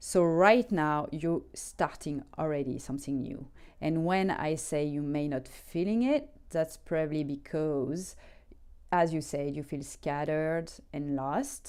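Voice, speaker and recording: With a French accent, a woman speaks at a fairly slow pace in a very deep, low pitch. Her pitch variation is ordinary, and the recording is very clean with a silent background. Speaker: tarot reader. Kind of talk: tarot reading. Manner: hesitant, many fillers.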